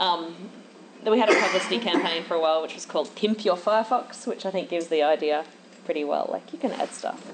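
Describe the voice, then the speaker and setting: A woman at a very fast pace and a fairly low pitch, over noticeable background noise. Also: ordinary pitch variation. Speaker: conference speaker, software engineer. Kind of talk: conference talk. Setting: stage with audience.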